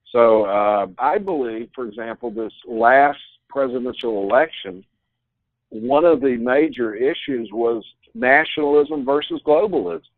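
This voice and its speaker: A man's medium-pitched voice at a fairly slow pace, with ordinary pitch variation. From United States. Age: 60s. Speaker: bible prophecy teacher. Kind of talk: interview. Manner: halting.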